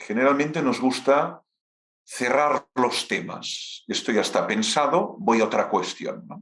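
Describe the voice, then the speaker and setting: A man's very slow, fairly high-pitched speech with a Catalan accent. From Catalonia, Spain. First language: Catalan (speaking Spanish). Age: 50s. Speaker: philosophy professor. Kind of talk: lecture Q&A.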